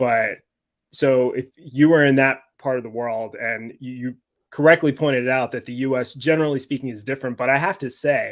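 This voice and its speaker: An unremarkable speaking voice from a man with an American accent, medium pitch and fairly even intonation moves at a moderate pace with big swings in loudness, on a very clean recording, silent background. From New York, Queens. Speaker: podcast co-host. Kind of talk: casual interview chat.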